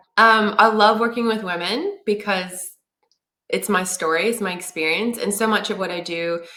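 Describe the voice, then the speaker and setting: A woman with an American accent and an unremarkable speaking voice, moderate pace, ordinary pitch variation. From United States. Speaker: marketing consultant and business founder. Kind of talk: interview.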